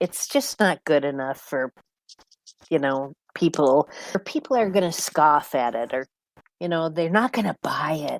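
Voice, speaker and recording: A woman speaks at a fairly slow pace with long, frequent pauses, her fairly low pitch carrying lively intonation in a dry, close sound with no echo. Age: 60s. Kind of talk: casual podcast conversation. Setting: podcast recording.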